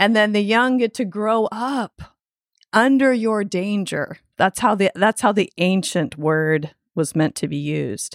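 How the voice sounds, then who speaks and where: In a very clean recording with a silent background and a dry, close sound with no echo, a woman with an unremarkable speaking voice talks at medium pitch and a fairly slow pace with lively intonation. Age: 50s. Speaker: podcast co-host. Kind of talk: casual chat.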